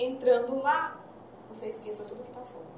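A woman's voice carries audible room echo. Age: 40s. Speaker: physician and nutritionist. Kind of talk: casual chat.

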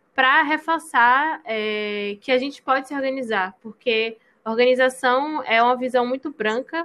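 Against a quiet background, a woman talks at a high pitch with ordinary pitch variation. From Bahia, Brazil (Salvador). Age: 20s. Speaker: personal organization coach. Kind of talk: casual interview.

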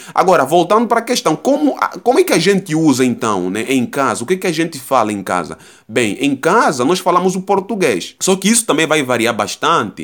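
Pitched high, a man talks at a fairly quick pace with hardly any pauses and very wide pitch swings. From Angola (Luanda, Sambizanga). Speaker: podcast host. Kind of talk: casual monologue. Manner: halting.

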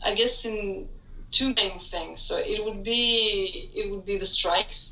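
Lively intonation from a female speaker. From Israel (Tel Aviv). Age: 20s. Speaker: graduate student. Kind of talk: casual interview.

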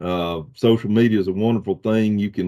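A man's dark, mellow tone, fairly low in pitch with fairly even intonation. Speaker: livestock market commentator. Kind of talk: market news update. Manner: halting, repeats words.

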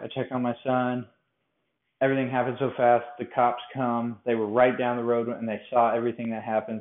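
A medium-pitched male voice in an American accent, fairly quick and in a flat monotone. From Colorado. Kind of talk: personal storytelling monologue. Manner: casual, conversational.

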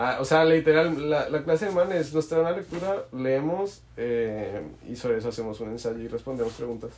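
With a normal speaking voice, a man talks at a moderate pace in a fairly high pitch, using lively intonation and hardly any pauses. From Colombia. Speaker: university student, podcast guest. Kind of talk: casual chat.

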